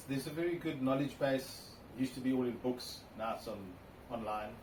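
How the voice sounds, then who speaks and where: Over noticeable background noise and audible room echo, a man with a South African accent speaks at a fairly quick pace in a medium pitch. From South Africa, Cape Town. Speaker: classic car owner. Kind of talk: interview.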